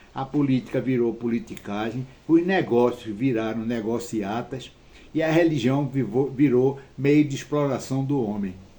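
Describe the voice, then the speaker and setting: A man talks at a fairly slow pace with a medium pitch. His tone is dark and mellow, with ordinary pitch variation. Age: 70s. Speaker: retired man telling his life story. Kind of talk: personal monologue. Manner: halting.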